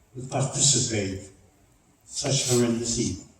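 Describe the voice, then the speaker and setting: A man talks amid noticeable background noise and audible echo from the room. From Czechoslovakia. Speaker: Holocaust survivor and speaker. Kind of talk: public talk. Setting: church with audience. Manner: emphatic storytelling.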